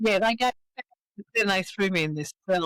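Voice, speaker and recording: A woman speaks with an Australian accent, the sound dry and close with no echo. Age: 70s. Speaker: recovering alcoholic. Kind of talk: interview.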